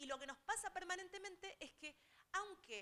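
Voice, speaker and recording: A woman with an Argentine accent speaks in a raised, projected voice at a fairly quick pace. Her tone is bright and sharp. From Argentina. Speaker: technology transfer specialist. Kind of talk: seminar talk. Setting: auditorium with audience.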